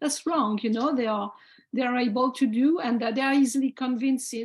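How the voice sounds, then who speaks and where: Over a quiet background, a woman with a French accent talks at a high pitch with fairly even intonation. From France. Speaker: heritage volunteer organization representative. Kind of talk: panel discussion. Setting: video call. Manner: halting.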